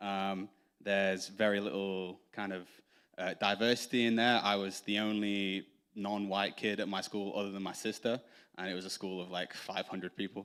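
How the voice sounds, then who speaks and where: This man talks at a moderate pace in an English accent, his pitch fairly low. His intonation stays monotone and flat, and the recording is very clean with a silent background. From northern England, Doncaster, Yorkshire. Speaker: church member. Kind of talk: testimony. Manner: halting, many fillers.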